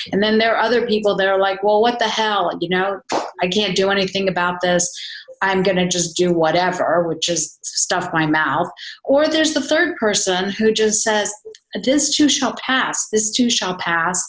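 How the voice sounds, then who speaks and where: With a plain, everyday voice, a woman speaks at a medium pitch and a moderate pace, her intonation lively. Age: 60s. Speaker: wellness coach. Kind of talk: casual chat.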